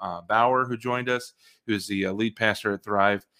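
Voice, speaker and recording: At a fairly quick pace, the speaker talks in a bright, sharp tone. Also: man. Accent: American. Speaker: podcast host. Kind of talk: casual interview. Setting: video call. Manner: hesitant, filler words.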